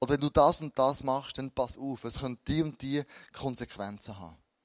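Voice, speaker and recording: Here a man speaks at medium pitch and a very slow pace. The recording is very clean with a silent background, dry and close with no echo. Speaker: pastor. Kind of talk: sermon.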